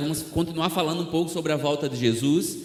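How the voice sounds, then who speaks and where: There is audible room echo as a man speaks at a moderate pace, fairly high in pitch with ordinary pitch variation. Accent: Northeastern Brazilian. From Brazil, Alagoas (Northeast), near Maceió. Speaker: missionary preacher. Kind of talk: sermon.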